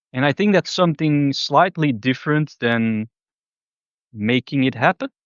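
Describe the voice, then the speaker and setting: A man with a Flemish accent, fairly high in pitch, at a moderate pace, with ordinary pitch variation and very even loudness. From Belgium (Flanders). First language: Dutch (Flemish). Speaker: spiritual vlogger. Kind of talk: casual monologue. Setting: outdoors in a public park. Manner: relaxed, free-form with hesitations.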